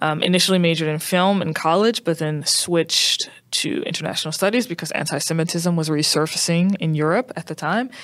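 A woman with an American accent has an ordinary speaking voice at a fairly low pitch with ordinary pitch variation. She talks at a fairly quick pace with hardly any pauses. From US South, New Orleans, Louisiana. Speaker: curriculum designer, educator. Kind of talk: casual interview.

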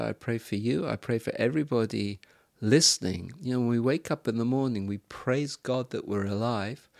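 A man speaks at a medium pitch and a moderate pace with ordinary pitch variation, his voice dry and close with no echo on a very clean recording over a silent background. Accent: English. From England. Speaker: missionary and Bible teacher. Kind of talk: interview. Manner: halting.

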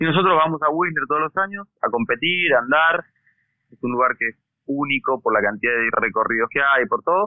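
A plain, everyday voice at a fairly quick pace, with lively intonation. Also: man, fairly high pitch for a man. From Argentina, Bariloche (Patagonia). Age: 40s. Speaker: mountain bike racer and event organizer. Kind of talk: interview conversation.

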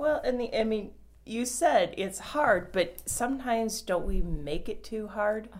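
An ordinary speaking voice moves at a fairly slow pace. The intonation is lively. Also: woman, fairly high pitch for a woman. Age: 40s. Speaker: health podcast host. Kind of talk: interview.

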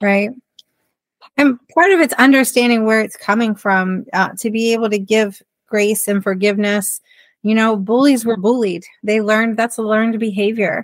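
A woman with a normal speaking voice talks at a moderate pace and fairly high pitch, keeping her intonation fairly even. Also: very even loudness. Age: 40s. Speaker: self-love and confidence coach. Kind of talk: interview.

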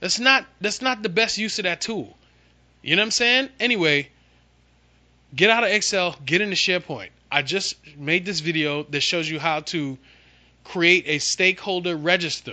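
In a raised, projected voice, a man with a high pitch and a bright, sharp, animated tone speaks at a moderate pace with long, frequent pauses. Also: quiet background. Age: 40s. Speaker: podcast host and SharePoint consultant. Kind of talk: casual solo monologue.

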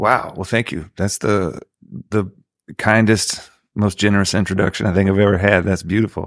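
A man's monotone, flat voice at a moderate pace in a very clean recording with a silent background. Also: fairly low pitch for a man. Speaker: singer-songwriter. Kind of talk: casual chat. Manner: long-winded.

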